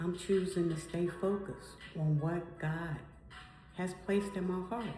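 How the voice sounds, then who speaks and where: A woman's fairly low, monotone, flat voice amid audible room echo and noticeable background noise. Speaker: faith vlogger. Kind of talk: devotional talk. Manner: repetitive, earnest.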